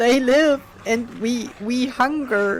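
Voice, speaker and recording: This is a put-on character voice that sounds female. The pitch is high for a woman. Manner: hungry, groaning.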